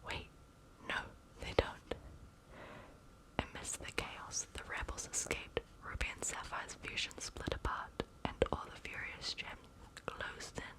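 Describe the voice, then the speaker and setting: Whispering in a calm tone at a fairly slow pace, with long, frequent pauses over noticeable background noise. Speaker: ASMR reader. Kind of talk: ASMR bedtime story reading. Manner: soft, calm, cozy.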